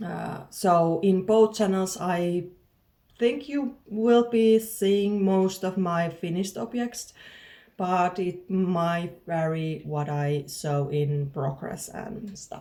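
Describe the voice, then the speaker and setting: Using a Finnish accent, a woman speaks very slowly at a medium pitch, her tone dark and mellow with ordinary pitch variation. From southern Finland. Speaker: knitting podcaster. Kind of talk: casual podcast monologue. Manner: halting, with frequent fillers and word searching.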